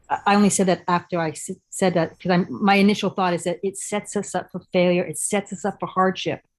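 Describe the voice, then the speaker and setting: On a very clean recording with a silent background, a woman with an unremarkable speaking voice talks fairly quickly at medium pitch with fairly even intonation. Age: 50s. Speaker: channel host, interviewer. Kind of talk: interview conversation.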